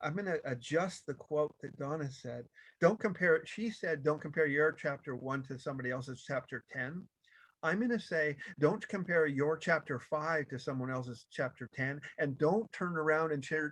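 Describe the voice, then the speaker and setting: This man has a normal speaking voice with a fairly high pitch and ordinary pitch variation. He talks at a moderate pace against a quiet background. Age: 60s. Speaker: motivational speaker. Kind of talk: motivational talk. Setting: video call.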